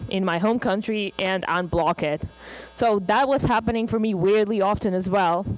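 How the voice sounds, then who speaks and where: Over music in the background, a woman speaks at a moderate pace with a medium pitch and ordinary pitch variation. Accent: Russian. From Russia. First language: Russian. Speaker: conference speaker. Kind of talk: conference talk. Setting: stage with audience.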